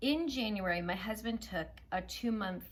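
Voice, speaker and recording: A woman speaks at a moderate pace with a fairly high pitch. Her somewhat breathy voice moves in very wide pitch swings. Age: 40s. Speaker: food and weight-loss vlogger. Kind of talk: personal heart-to-heart vlog. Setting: living room at home.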